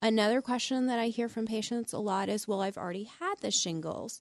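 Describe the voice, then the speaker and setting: Against a quiet background, with a dry, close sound and no echo, a woman with a fairly high pitch and ordinary pitch variation speaks in an unremarkable speaking voice. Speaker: physician in geriatric training. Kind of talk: call-in radio medical Q&A. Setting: studio.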